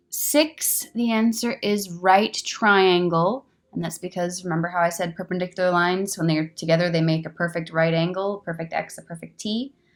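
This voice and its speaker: A woman talks at a fairly quick pace in a plain, everyday voice. Her medium pitch shows ordinary pitch variation. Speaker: teacher. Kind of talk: tutorial.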